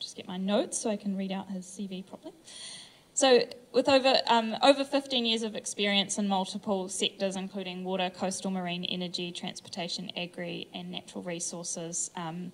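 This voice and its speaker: A woman's medium-pitched voice at a fairly quick pace, with ordinary pitch variation and big swings in loudness. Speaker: panel moderator. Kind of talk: panel moderation.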